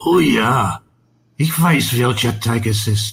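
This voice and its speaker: Putting on a character voice, a man speaks raspy and fairly slowly at a medium pitch. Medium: read story. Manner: repeats himself anxiously.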